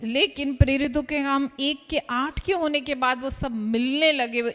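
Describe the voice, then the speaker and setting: A woman with an Indian accent. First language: Hindi. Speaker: interpreter translating the sermon into Hindi. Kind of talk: live sermon interpretation.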